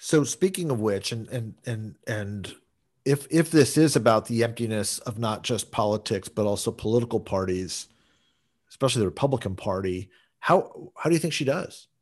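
This man has a plain, everyday voice at a medium pitch, with lively intonation. He talks at a moderate pace against a quiet background. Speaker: podcast host.

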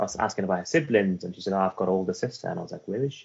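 A man is speaking. He has a Welsh accent. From Afghanistan (Herat), raised in Wales. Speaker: author. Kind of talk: interview.

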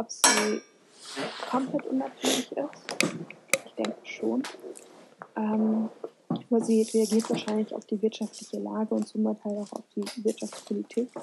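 A woman speaks at a fairly slow pace with long, frequent pauses, and there is noticeable background noise. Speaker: podcast co-host. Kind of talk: casual chat.

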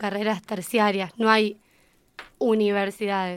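This is a normal speaking voice from a woman with a fairly high pitch. She takes a fairly slow pace. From Argentina, San Nicolás, Buenos Aires province. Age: 20s. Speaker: English teacher. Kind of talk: interview.

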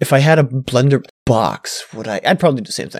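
A man with an unremarkable speaking voice talks fairly quickly at medium pitch, in a dry, close sound with no echo. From Canada. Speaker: podcast co-host. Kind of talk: casual chat. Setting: voice call over Discord.

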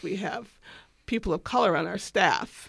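A woman's medium-pitched voice with vocal fry and ordinary pitch variation, very clean recording, silent background. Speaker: doula and birth photographer. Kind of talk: interview conversation.

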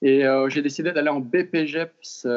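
This man speaks with fairly even intonation at a fairly high pitch. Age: 20s. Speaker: fitness coach. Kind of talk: interview. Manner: hesitant, many fillers.

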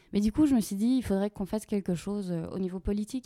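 A woman's dark, mellow tone at a fairly quick pace, dry and close with no echo. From Belgium, Walloon Brabant. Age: 30s. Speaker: nonprofit agency co-director. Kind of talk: podcast interview.

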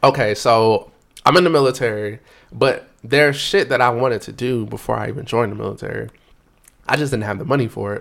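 An animated man talks at a very fast pace with vocal fry. His loudness swings widely. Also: medium pitch for a man, ordinary pitch variation. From North Carolina, Raleigh. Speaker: DJ and military serviceman. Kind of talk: casual chat.

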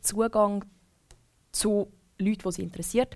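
Medium in pitch and moderate in pace, a woman speaks in a plain, everyday voice. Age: 20s. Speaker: former radio presenter. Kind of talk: casual chat.

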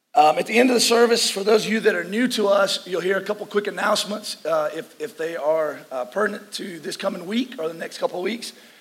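Talking at a very fast pace in a high voice with ordinary pitch variation, a man is heard over noticeable background noise. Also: hardly any pauses. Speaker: pastor. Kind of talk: sermon. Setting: church service.

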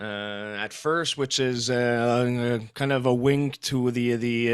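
Speaking in a French Canadian accent, a man uses a medium pitch and fairly even intonation. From Quebec. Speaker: metal band musician. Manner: halting, filler-heavy.

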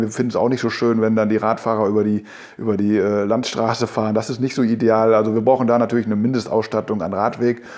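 The speaker is a man with a medium pitch. His words move fairly quickly. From Münsterland, Germany (Telgte). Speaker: local politician, mayoral candidate. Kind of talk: interview. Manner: hesitant, many fillers.

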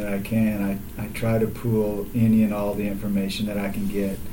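A man's fairly low voice with an American accent at a moderate pace, with noticeable background noise and audible room echo. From Texas, south of Houston. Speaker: athletic trainer. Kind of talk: casual interview.

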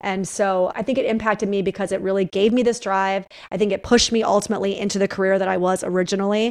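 Hardly pausing, a woman with an American accent talks at a very fast pace, her medium pitch monotone and flat. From upstate New York. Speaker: psychotherapist and author. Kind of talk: interview conversation. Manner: blunt.

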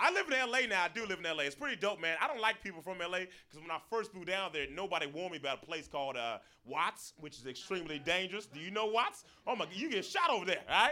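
Here a man speaks at a very fast pace with a raised, projected voice. His high pitch carries lively intonation. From Florida. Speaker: stand-up comedian. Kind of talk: stand-up. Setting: stage with audience.

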